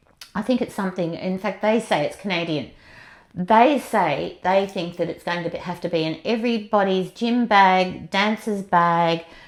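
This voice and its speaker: A woman with an Australian accent, a medium pitch and ordinary pitch variation. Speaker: movement and yoga teacher. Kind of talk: interview. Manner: fast; animated.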